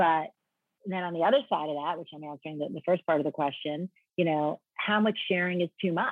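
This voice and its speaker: A woman with an American accent talks at a very fast pace and fairly low pitch. Her loudness swings widely, and her pitch varies in an ordinary way. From New York. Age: 50s. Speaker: lifestyle blogger and influencer. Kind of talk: casual interview.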